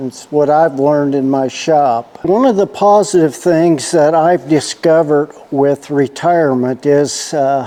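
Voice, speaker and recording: Over noticeable background noise, a man with a fairly high pitch speaks at a fairly slow pace, with ordinary pitch variation and hardly any pauses. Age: 70s. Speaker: retired repair shop owner and channel host. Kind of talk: casual monologue to camera. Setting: workshop. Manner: relaxed, conversational.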